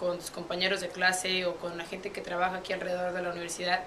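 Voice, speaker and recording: A woman talks at a very fast pace with light background noise. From Puebla, Mexico. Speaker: university student athlete. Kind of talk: interview answer. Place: office.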